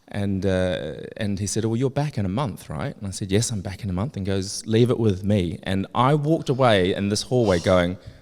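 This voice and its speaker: A man's fairly low-pitched voice, fairly quick, with hardly any pauses and ordinary pitch variation. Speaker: fragrance industry insider. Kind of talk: live interview on stage. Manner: loud.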